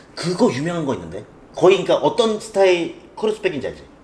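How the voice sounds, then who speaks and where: Fairly quick speech from a man, with noticeable background noise behind him. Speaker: fashion channel host. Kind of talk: casual chat. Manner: fast.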